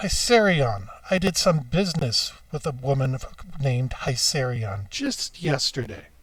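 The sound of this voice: A growling, put-on character voice at low-to-middle pitch and a moderate pace, on a very clean recording with a silent background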